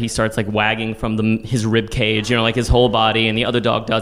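Talking at a very fast pace, a man with an American accent is heard over noticeable background noise. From Texas, San Antonio. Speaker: storytelling teacher and solo performer. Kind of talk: personal storytelling on stage. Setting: stage with audience.

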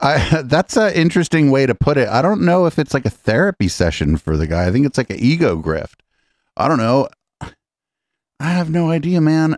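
With a plain, everyday voice and a fairly high pitch, a man talks at a fairly quick pace with lively intonation, recorded very clean with a silent background and a dry, close sound with no echo. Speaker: podcast host commenting on clips. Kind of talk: casual live-stream commentary. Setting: live stream studio. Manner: casual, profane, sarcastic.

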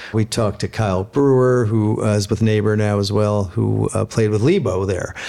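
Moderate pace, very even loudness and fairly even intonation over noticeable background noise. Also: man, fairly low pitch for a man. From San Francisco. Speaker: podcast host. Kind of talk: casual interview. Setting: guest's home.

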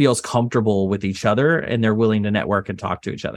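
A man with an American accent talks at a very fast pace, his pitch fairly low and its variation ordinary. The recording is very clean, with a silent background. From Texas. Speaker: property insurance lawyer and entrepreneur. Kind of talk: interview.

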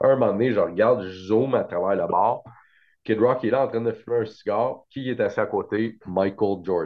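Ordinary pitch variation accompanies delivery at a moderate pace. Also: man, medium pitch for a man. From Quebec, Montreal. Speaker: trading card show organizer. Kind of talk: casual chat.

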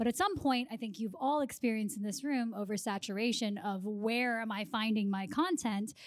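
A woman with a normal speaking voice talks at a fairly quick pace, hardly pausing at all. Her pitch sits fairly high and varies in an ordinary way. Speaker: film and television professional. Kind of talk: live panel discussion. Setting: stage with audience.

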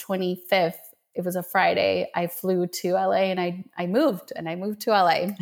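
Her voice sits at a medium pitch for a woman, delivered with monotone, flat intonation. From Colombia, raised in Minnesota from age seven. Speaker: energy healer. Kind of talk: casual interview chat.

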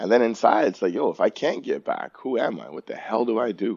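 In a Toronto accent, a man speaks at a moderate pace. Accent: Canadian English (Toronto). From Toronto, Canada. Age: 40s. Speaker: personal trainer and gym owner. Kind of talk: casual chat.

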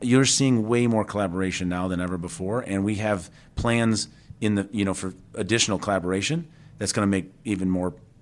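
The speaker has a Chicago accent and a fairly quick pace. Pitch variation is ordinary. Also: man. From Chicago area, Tinley Park. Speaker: motorsport executive and automotive engineer. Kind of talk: interview. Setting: on location at a technical center.

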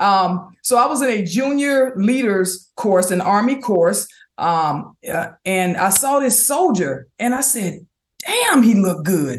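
A woman with an American accent, somewhat breathy at a medium pitch, with very wide pitch swings at a very slow pace. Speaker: army veteran and speaker. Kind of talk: interview. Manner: halting.

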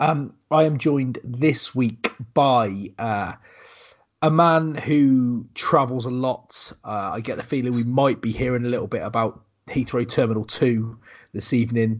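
At a fairly slow pace, a man talks with ordinary pitch variation.

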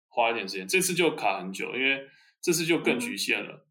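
A man with a bright, sharp tone speaks at a moderate pace with lively intonation, with audible room echo. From Taiwan. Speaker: MBA graduate, consultant. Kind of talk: interview. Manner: halting.

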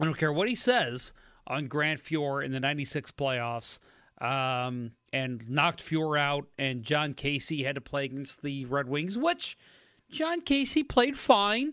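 Against a quiet background, a man with an American accent speaks at a very slow pace in a fairly high, bright, sharp voice with ordinary pitch variation. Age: 30s. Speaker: podcast co-host. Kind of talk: casual chat.

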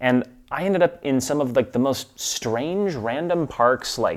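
A man speaks with a US Midwestern accent. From Milwaukee, US Midwest. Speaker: expat spouse. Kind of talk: casual interview.

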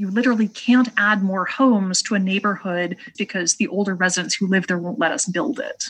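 At a fairly quick pace with hardly any pauses, a woman speaks in an unremarkable speaking voice of medium pitch with ordinary pitch variation. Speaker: economist. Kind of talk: interview.

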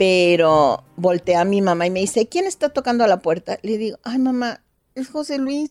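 With music in the background, a woman with a fairly high pitch speaks at a fairly slow pace, her pitch swinging very widely in a dry, close sound with no echo. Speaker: doctor. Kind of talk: storytelling interview.

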